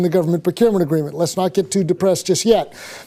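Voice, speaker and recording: A man talks with an American accent. His tone is dark and mellow. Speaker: law professor. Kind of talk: conference talk. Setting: conference with audience. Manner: very fast.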